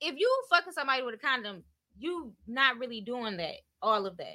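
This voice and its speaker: A woman with a high pitch and a bright, sharp tone projects a raised voice at a moderate pace, her pitch swinging very widely. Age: 30s. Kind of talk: casual chat.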